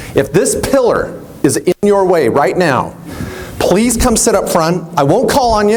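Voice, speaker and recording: A man with an American accent, lively intonation and a moderate pace, plus audible room echo and noticeable background noise. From Washington State, US. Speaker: attorney and accountant, seminar speaker. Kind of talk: live seminar talk. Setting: stage with audience. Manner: animated, high energy.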